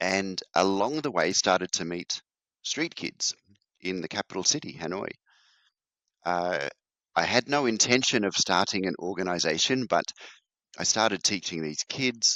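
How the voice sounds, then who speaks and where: A moderate pace with lively intonation, long and frequent pauses, and an Australian accent. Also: man, very deep, low pitch for a man. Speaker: charity founder. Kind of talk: interview.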